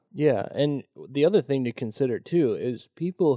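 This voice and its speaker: A man talks at a fairly slow pace with a dark, mellow tone. The sound is dry and close, with no echo. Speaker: guest. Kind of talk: casual interview chat.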